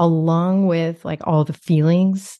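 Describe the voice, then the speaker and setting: An unremarkable speaking voice. The pace is fairly slow. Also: woman. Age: 50s. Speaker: business coach for therapists, former therapist. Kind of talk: casual interview conversation.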